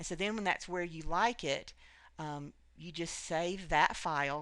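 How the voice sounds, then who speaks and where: Pitch moves in an ordinary way. Vocal fry runs through the voice. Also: woman. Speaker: craft tutorial creator. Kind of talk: screen tutorial. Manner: fast; hesitant with many fillers.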